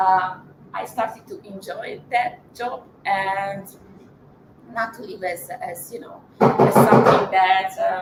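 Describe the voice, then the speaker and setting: A woman with a Hungarian accent, very slow delivery, big swings in loudness, ordinary pitch variation, and noticeable background noise. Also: medium pitch for a woman. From Hungary, Budapest. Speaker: marketing professional, invited speaker. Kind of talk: personal talk at live event. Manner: halting, many fillers.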